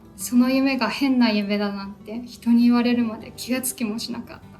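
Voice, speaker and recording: Over music in the background, a woman speaks at a very fast pace in a fairly high voice with monotone, flat intonation. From Taiwan. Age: 20s. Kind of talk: personal narration in Japanese.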